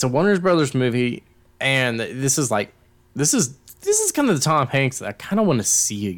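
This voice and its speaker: This is an unremarkable speaking voice from a man at medium pitch. He talks at a fairly quick pace with lively intonation. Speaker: podcast host. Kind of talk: casual chat.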